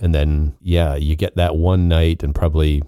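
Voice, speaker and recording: A man delivers his words in a very deep, low pitch with monotone, flat intonation. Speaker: podcast co-host. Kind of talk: casual chat. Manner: low-key.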